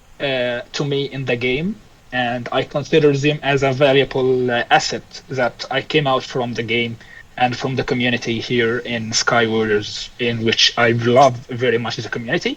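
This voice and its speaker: There is noticeable background noise. A man speaks with monotone, flat intonation. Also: medium pitch for a man, moderate pace. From Egypt. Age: 20s. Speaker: fighter pilot. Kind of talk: podcast interview. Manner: halting.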